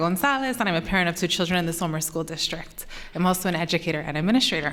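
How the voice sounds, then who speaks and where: Noticeable background noise runs under a woman's voice. She speaks very fast at a fairly low pitch. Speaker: parent speaking at public comment. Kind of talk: prepared public comment. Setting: school board meeting.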